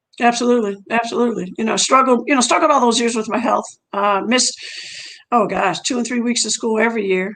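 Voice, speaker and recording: A woman speaks very fast in a fairly high voice with ordinary pitch variation. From Indiana. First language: French. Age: 60s. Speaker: track and field coach. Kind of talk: interview.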